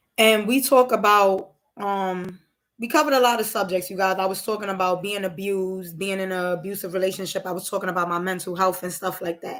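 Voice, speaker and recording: In a normal speaking voice, a woman talks at a fairly quick pace with an American accent, medium pitch and fairly even intonation, on a very clean recording with a silent background. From Brooklyn, New York. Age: 30s. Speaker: live-stream host and spiritual reader. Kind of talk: casual live-stream chat. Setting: live stream.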